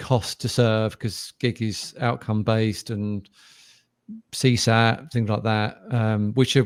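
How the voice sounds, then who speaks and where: In a British accent, a man speaks at a medium pitch with monotone, flat intonation. His pace is very slow, and the recording is very clean with a silent background. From UK. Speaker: podcast host, sales executive. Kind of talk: interview conversation. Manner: hesitant, many fillers.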